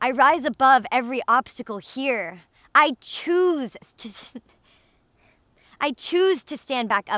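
Against a quiet background, a woman speaks in a high, bright, sharp voice with very wide pitch swings. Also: dry sound with no echo. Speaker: vegan lifestyle vlogger and poet. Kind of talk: spoken word poetry reading. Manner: emotive, empowering, rhythmic. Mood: emotional, earnest. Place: open country.

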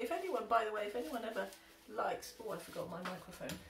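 Room echo is audible, and there is light noise in the background. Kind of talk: casual tutorial chat. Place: workshop. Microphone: camera far.

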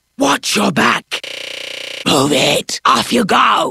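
Someone uses a raspy, put-on character voice. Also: woman. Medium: solo performance. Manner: stern, grim, commanding.

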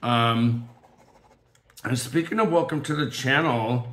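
There is audible room echo around this man's voice. He has a medium pitch and speaks at a fairly slow pace. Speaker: diamond painting crafter. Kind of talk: casual chat. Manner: halting, many fillers.

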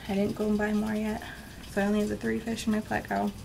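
Noticeable background noise fills the recording. Through it, a woman talks very fast. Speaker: reptile keeper vlogger. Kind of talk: casual vlog chat. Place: home room. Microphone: phone near.

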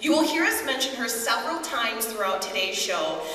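There is audible room echo as a woman speaks in a fairly high pitch with lively intonation. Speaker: fashion show emcee. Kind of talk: live event narration. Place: church.

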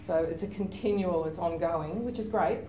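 In an Australian accent, a woman speaks at a fairly low pitch with audible room echo and light background noise. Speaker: university librarian; panelist. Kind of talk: conference panel presentation. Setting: stage with audience. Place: meeting room.

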